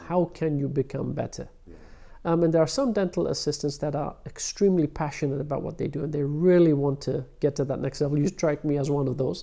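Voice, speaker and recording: Against a quiet background, a man with a fairly high pitch and a dark, mellow tone talks with fairly even intonation. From London, England. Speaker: prosthodontist; interviewee. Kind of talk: interview. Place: office.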